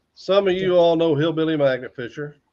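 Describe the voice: At a fairly quick pace, a man talks with a slightly mellow tone. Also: fairly high pitch for a man, ordinary pitch variation.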